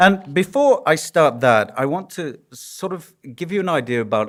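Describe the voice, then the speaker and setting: In a strong Yorkshire accent, a man talks with very wide pitch swings. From northern England, Yorkshire. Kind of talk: conference lecture. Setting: conference hall with audience. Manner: conversational, humorous.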